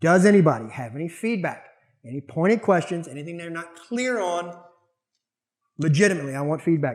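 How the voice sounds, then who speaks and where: With a Southern US accent, a man talks at a high pitch and a fairly quick pace. His tone is animated and his intonation lively. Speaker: martial arts instructor. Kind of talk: lecture. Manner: fast.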